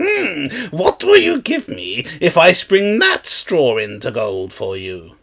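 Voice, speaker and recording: A man speaks in a put-on character voice. His pace is fairly slow. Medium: read story. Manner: sly, bargaining.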